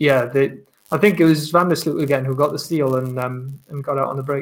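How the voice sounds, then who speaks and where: A man's fairly high voice with a Welsh accent, fairly quick, with fairly even intonation. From Wales. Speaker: basketball journalist. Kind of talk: casual chat.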